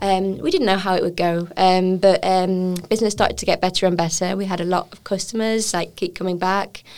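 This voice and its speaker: A woman's medium-pitched voice in an English accent, fairly quick with hardly any pauses, flat and monotone in intonation. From England. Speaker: chef and restaurant owner. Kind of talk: interview.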